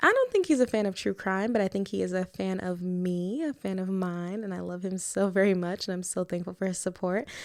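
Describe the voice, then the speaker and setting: A woman speaks fairly quickly at medium pitch with ordinary pitch variation. The recording is very clean, with a silent background. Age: 20s. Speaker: true crime podcast host. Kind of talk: podcast monologue and case narration.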